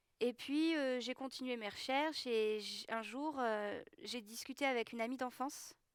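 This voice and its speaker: A woman speaks high in pitch at a moderate pace. Her intonation stays fairly even. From southwest France, Gers. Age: 20s. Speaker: schoolteacher giving baptism testimony. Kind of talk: testimony. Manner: hesitant, many fillers.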